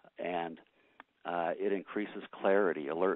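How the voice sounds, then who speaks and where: Intonation stays fairly even as this man talks. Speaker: doctor. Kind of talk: conference call talk. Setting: phone call. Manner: fast; halting with many uhs.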